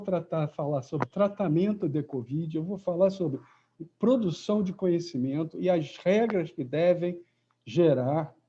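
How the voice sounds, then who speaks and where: At a moderate pace, a man with a high pitch, ordinary pitch variation and a dark, mellow tone speaks. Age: 70s. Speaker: professor. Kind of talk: lecture.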